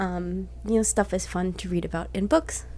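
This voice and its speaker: A soft-spoken woman keeps a moderate pace as she talks. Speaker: book reviewer. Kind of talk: casual book review vlog.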